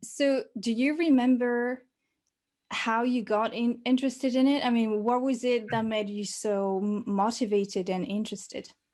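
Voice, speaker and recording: In a French accent, a woman with a fairly high pitch speaks at a moderate pace with fairly even intonation on a very clean recording with a silent background. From France. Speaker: podcast host, polyglot. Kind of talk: podcast interview.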